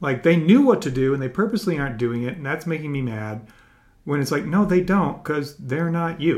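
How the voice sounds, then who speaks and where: A man with an ordinary speaking voice, a fairly high pitch, lively intonation and a fairly quick pace. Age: 50s. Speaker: podcast host. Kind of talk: interview.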